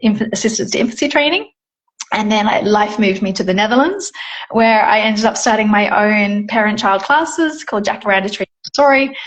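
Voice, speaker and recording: A woman speaks in an Australian accent at a fairly quick pace. Her voice is somewhat breathy. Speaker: Montessori educator. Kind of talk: casual chat.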